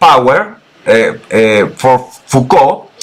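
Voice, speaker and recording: Noticeable background noise sits under this recording. The speaker is a man with a Chilean accent. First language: Spanish. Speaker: political researcher. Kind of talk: interview presentation. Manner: halting.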